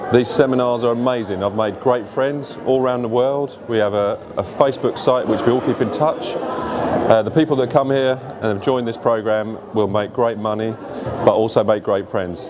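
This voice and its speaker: There is noticeable background noise behind this man. He speaks at a moderate pace with fairly even intonation. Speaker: property sales partner. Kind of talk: promotional testimonial. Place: hall.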